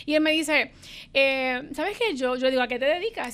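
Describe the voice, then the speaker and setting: A woman speaks at a fairly quick pace in a high-pitched voice with a bright, sharp tone. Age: 30s. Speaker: business executive. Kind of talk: interview.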